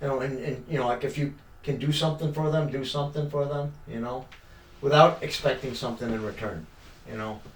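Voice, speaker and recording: Over audible room echo, a man talks at a fairly quick pace with a fairly high pitch and fairly even intonation. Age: 60s. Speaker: podcast guest, amateur actor. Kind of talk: casual interview chat. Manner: halting, many fillers.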